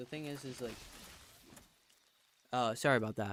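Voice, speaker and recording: Quietly and at a fairly quick pace, a man talks in a medium pitch with ordinary pitch variation. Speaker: gaming streamer. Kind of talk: casual chat. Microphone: too far from the mic.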